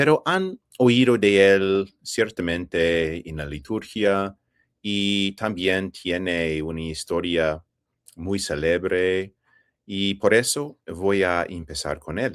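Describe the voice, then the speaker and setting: A man with an English accent speaks very slowly in a very deep, low voice with ordinary pitch variation. The recording is very clean, with a silent background. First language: English (speaking Spanish). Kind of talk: interview. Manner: halting, with fillers.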